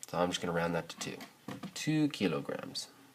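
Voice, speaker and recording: A man's lively intonation with music in the background. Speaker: math teacher. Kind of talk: video lesson tutorial.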